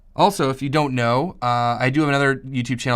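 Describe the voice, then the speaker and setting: This man, speaking with an American accent, talks at a very fast pace. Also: very clean recording, silent background. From US Northeast, Boston. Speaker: farmer and online course teacher. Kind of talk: live Q&A stream. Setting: live stream to camera. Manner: casual, filler-heavy.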